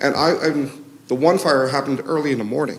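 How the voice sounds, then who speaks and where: Noticeable background noise accompanies a man whose fairly high-pitched voice moves at a fairly quick pace. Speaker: resident speaking at public hearing. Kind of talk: public testimony. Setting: public meeting with microphone. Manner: loud; animated.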